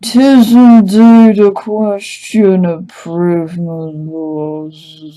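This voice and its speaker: In a put-on character voice at a middle pitch, the speaker goes at a very slow pace with hardly any pauses. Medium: actual play. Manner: courteous, measured.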